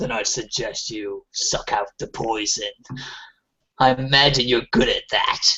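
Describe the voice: A man uses a gruff, put-on character voice at a medium pitch and a moderate pace.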